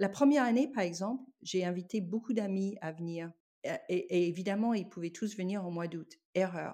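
In a very clean recording with a silent background, a woman of medium pitch speaks fairly slowly in a dark, mellow tone, with ordinary pitch variation. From United States. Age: 60s. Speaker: guesthouse owner, music industry professional. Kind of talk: interview. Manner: halting, frequent repetitions.

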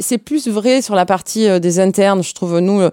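Recorded dry and close with no echo, a woman speaks with lively intonation. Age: 50s. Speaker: hospital pharmacy department head. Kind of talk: interview. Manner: hesitant, many fillers.

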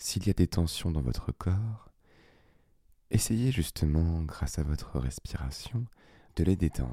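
A man's very deep, low voice, dark, mellow, and somewhat breathy, with a calm, soothing tone, very wide pitch swings, a very slow pace, and long, frequent pauses, on a very clean recording with a silent background. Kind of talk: guided meditation. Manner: slow, calm, soothing; gently pausing, spaced-out phrasing with long silences.

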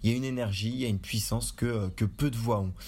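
The speech comes at a very fast pace. The voice is somewhat breathy, with fairly even intonation. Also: man. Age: 20s. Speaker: podcast co-host. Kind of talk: casual chat. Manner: halting.

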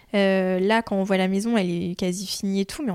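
At a moderate pace, a woman speaks in a plain, everyday voice with medium pitch and fairly even intonation. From France, Chartres. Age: 20s. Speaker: home renovator. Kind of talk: casual chat. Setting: at home.

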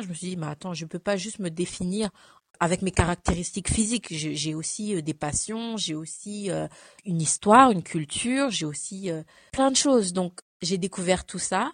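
A woman at a medium pitch speaks at a moderate pace, her voice somewhat breathy. The recording is dry and close with no echo, over a quiet background. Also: ordinary pitch variation. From France, arrived from Cameroon at 5. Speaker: photo model and image consultant. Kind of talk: casual interview.

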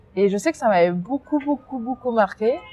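A woman talks at a fairly quick pace with ordinary pitch variation. Noticeable background noise runs behind her. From France, Seine-et-Marne (left DR Congo at 7). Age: 20s. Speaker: youth education mentor. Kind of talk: interview testimony. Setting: outdoors.

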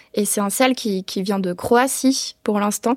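The speech moves at a fairly slow pace with ordinary pitch variation, in a very clean recording with a silent background and a dry, close sound with no echo. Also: woman. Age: 20s. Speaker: entrepreneur. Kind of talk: interview. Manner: hesitant, many fillers.

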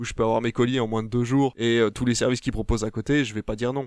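A man speaks very fast at a medium pitch. His intonation stays fairly even. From Belgium. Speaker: film podcast panelist. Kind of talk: casual chat.

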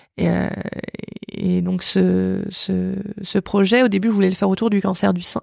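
A woman speaks at a fairly slow pace, with long, frequent pauses. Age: 30s. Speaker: cancer survivor and prevention project founder. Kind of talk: interview testimony. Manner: halting.

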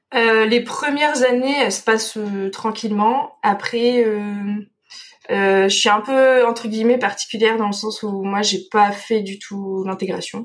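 At a fairly slow pace, a woman speaks with fairly high pitch and fairly even intonation. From France, Dordogne. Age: 20s. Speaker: veterinarian. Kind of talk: interview. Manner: hesitant, many fillers.

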